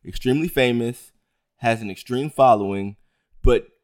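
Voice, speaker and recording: Lively intonation comes through in a dry, close sound with no echo. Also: man. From Baltimore, Maryland. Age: 30s. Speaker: podcast co-host. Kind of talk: casual chat.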